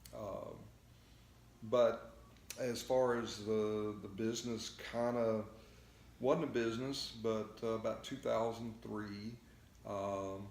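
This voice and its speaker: Speaking very slowly with a Texan accent, a man keeps a medium pitch and monotone, flat intonation, with long, frequent pauses and audible room echo. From Texas. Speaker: float therapy business owner. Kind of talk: interview. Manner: halting, many fillers.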